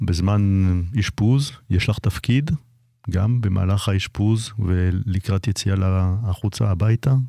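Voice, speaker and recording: A dark, mellow tone at a very slow pace, with very even loudness. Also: man, very clean recording, silent background. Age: 60s. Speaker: anesthesiologist, co-host. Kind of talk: radio talk show.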